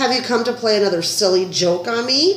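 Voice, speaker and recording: A woman uses a put-on character voice with a rumbling, fairly high pitch. She talks at a fairly quick pace over clear background noise. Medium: read story. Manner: curt, grumbling.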